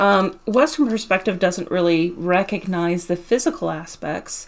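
The speaker has a plain, everyday voice. Delivery is fairly slow with lively intonation. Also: woman. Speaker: podcast host, mindfulness practitioner. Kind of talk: casual chat.

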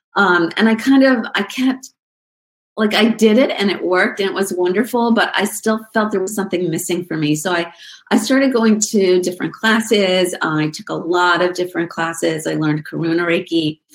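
Speaking at a moderate pace, a woman uses an ordinary speaking voice of medium pitch with ordinary pitch variation. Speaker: nurse and Reiki teacher. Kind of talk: casual interview chat. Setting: video call.

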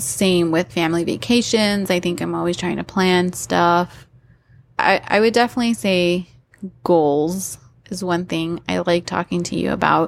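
A woman speaks in a plain, everyday voice with a fairly low pitch and ordinary pitch variation. She keeps a moderate pace, and the recording is very clean with a silent background. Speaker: podcast host. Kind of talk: casual chat.

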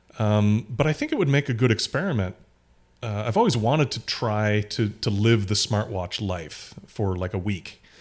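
A man with a fairly low pitch speaks at a moderate pace in a plain, everyday voice, on a very clean recording with a silent background. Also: ordinary pitch variation. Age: 50s. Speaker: podcast co-host. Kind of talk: casual chat.

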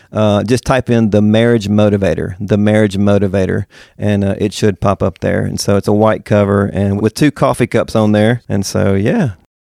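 In a Southern US accent, a man speaks at a moderate pace with a fairly low pitch, a dark, mellow tone, fairly even intonation and hardly any pauses. The sound is dry and close with no echo, on a very clean recording with a silent background. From Mississippi. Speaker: pastor and author. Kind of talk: interview.

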